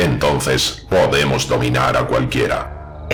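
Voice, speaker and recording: Over clear background noise, a man puts on a robotic character voice and speaks at a fairly slow pace. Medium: read story. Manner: flat, obedient.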